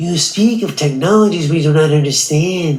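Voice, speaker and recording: At a moderate pace, the speaker uses a put-on character voice at a middle pitch. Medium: short film. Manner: stammering, defensive.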